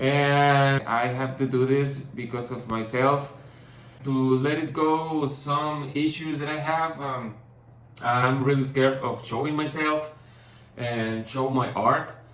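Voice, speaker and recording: A man with a non-native accent speaks very slowly at a fairly high pitch in a monotone, flat intonation. Audible room echo surrounds the voice. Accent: non-native English, rusty. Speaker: painter and vlogger. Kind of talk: personal vlog. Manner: halting, many fillers and restarts.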